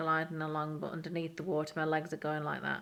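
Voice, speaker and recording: A woman speaks in a very deep, low pitch. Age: 30s. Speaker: mental health vlogger. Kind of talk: casual chat. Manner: halting.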